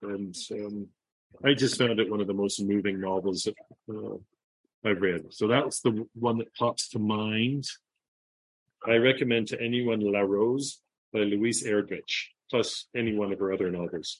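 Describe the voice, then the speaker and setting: Fairly slow speech with a Canadian accent, fairly even intonation and long, frequent pauses. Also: man, fairly low pitch for a man. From Toronto, Canada. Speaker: human rights NGO director. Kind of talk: interview.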